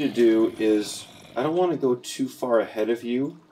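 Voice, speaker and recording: With an American accent, a man talks at a medium pitch with lively intonation. His tone is dark and mellow. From US Northeast, Boston. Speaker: gaming YouTuber. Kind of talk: casual gameplay commentary.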